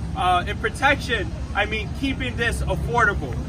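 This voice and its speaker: A male voice over loud background noise. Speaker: city council member. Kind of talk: rally speech. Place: street. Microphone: camera far.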